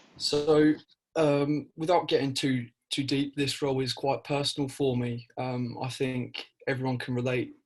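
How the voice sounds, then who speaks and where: A somewhat breathy voice speaks in a monotone with flat intonation. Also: man. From East Anglia, South Suffolk. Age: 20s. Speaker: student election candidate. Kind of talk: interview. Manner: hesitant, many fillers and repeats.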